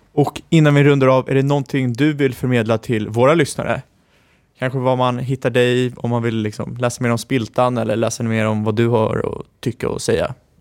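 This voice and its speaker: The man talks at a fairly quick pace in a medium pitch. His intonation is monotone and flat. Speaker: podcast co-host. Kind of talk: interview.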